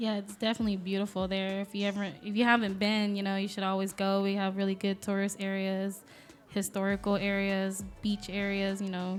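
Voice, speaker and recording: With a slight Southern US accent, a woman speaks at medium pitch and a fairly quick pace in a monotone, flat intonation. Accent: slight Southern twang. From US South, coastal Alabama. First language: Vietnamese. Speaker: millwright, former nail technician. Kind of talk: casual interview.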